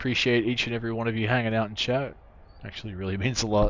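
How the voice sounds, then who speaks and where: Quiet, very fast speech from a man with an Australian accent, medium pitch and fairly even intonation. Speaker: video game streamer. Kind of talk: casual live-stream chat. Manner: relaxed, chill.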